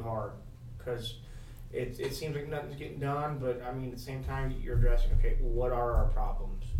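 Speaking at a moderate pace, a man has an American accent. Audible room echo and noticeable background noise accompany him. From US Midwest (Cincinnati area, Ohio). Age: 40s. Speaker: community volunteer. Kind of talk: casual interview.

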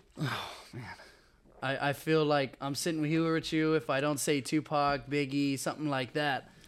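A man with an American accent, a fairly high pitch and monotone, flat intonation. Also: moderate pace. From Texas. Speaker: student and sports fan. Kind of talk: casual chat.

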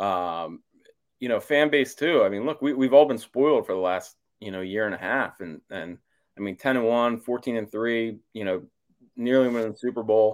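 With an unremarkable speaking voice, a man talks at a medium pitch and moderate pace, his pitch varying in an ordinary way. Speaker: sports columnist. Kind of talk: sports talk interview.

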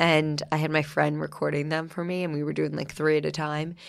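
This woman's voice is very deep and low. She talks at a moderate pace. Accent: American. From New Jersey. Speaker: podcast host and food influencer. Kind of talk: casual interview chat.

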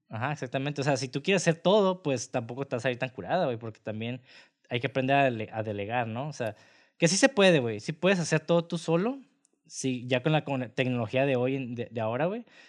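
In a Mexican accent, a man talks at a fairly quick pace with lively intonation and medium pitch, over a quiet background. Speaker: film podcast host. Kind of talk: casual chat; reading notes aloud.

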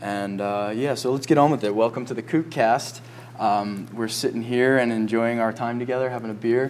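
His pitch is medium for a man. He speaks at a moderate pace. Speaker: surf coach and podcast host. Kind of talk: casual chat. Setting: cafe by a fire. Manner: animated.

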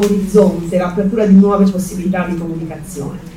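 A woman with a medium-pitched voice and fairly even intonation talks amid audible room echo and noticeable background noise. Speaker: sociolinguist. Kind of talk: panel discussion. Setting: remote call.

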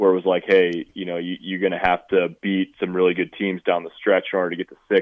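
Hardly pausing, a man speaks in a very deep, low pitch with monotone, flat intonation. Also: fairly quick pace. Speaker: sports reporter. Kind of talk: phone interview about football. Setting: phone call. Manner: serious, serious-sounding.

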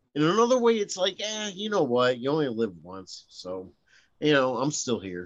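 A man with an American accent and a fairly high pitch, at a moderate pace, with very wide pitch swings and big swings in loudness. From Northeast Ohio (Lorain). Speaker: musician. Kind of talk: casual chat. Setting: remote call, outdoors.

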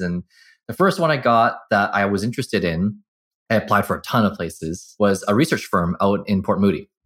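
A normal speaking voice with a Canadian accent moves at a fairly quick pace. The recording is very clean, with a silent background. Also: man. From Vancouver area, Canada (Burnaby). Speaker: market research agency president. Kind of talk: interview.

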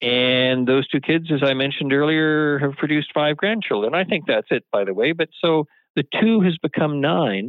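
In a Canadian accent, a man with a fairly high pitch talks at a moderate pace with lively intonation, very even loudness and hardly any pauses, in an ordinary speaking voice. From Vancouver Island, British Columbia, Canada. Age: 60s. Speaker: mayor. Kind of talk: interview.

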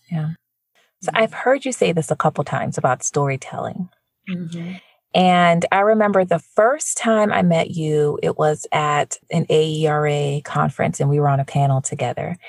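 A somewhat breathy voice at a moderate pace with ordinary pitch variation, in a dry, close sound with no echo. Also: woman, very deep, low pitch for a woman. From Jamaica. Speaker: podcast host and educator. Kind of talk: interview, casual conversation.

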